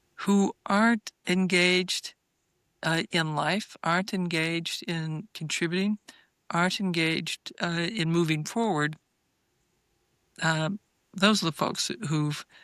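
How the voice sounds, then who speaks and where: At a very slow pace with long, frequent pauses, the speech comes through dry and close with no echo, in a very clean recording with a silent background. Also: woman, fairly low pitch for a woman, ordinary pitch variation. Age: 60s. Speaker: physician and researcher. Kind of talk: podcast interview. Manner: halting, many fillers and repeats.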